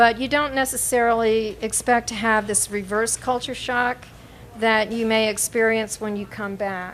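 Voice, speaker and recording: A woman speaks at a moderate pace in a fairly high pitch. Her intonation is monotone and flat, with noticeable background noise behind her. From North Carolina. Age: old. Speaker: poet. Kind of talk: poetry reading; casual introduction. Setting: coffee shop with audience. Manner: halting, many fillers.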